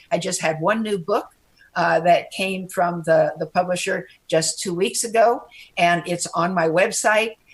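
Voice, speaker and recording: Somewhat breathy, a woman with a fairly low pitch speaks at a fairly slow pace with ordinary pitch variation. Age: 80s+. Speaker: retired surgeon and author. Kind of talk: interview. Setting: video call. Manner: animated.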